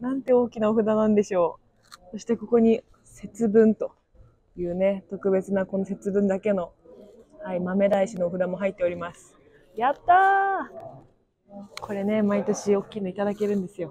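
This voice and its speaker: A woman speaks at a moderate pace with fairly even intonation. The sound is dry, with no echo. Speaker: vlogger. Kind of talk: casual vlog chat. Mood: cheerful, laughing. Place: garden. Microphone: phone near.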